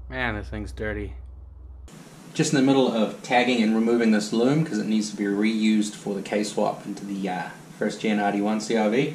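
A man with a New Zealand accent talks at a moderate pace with fairly even intonation. There is audible room echo and light background noise. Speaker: car mechanic YouTuber. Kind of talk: tutorial. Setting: garage workshop. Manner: casual. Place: garage. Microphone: phone near.

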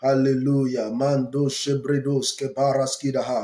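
A man's dark, mellow voice with audible room echo. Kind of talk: prayer broadcast exhortation. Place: home room. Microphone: earbuds.

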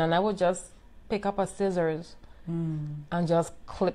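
At a moderate pace, a woman with an American accent speaks in a fairly low pitch. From US Virgin Islands, St. Croix; US Virgin Islands. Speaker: boutique owner, entrepreneur; interview guest. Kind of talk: personal testimony in live interview. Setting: live video stream. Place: home room.

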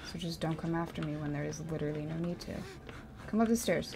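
Light background noise runs under a woman's voice. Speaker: gamer. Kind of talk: angry rant while gaming. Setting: livestream gameplay. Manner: frustrated, sarcastic, exasperated. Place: home room. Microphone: studio mic.

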